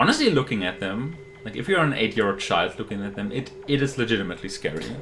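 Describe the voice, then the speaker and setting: A man at medium pitch, very fast and with lively intonation, over noticeable background noise. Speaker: speedrunner. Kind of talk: live commentary. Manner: loud.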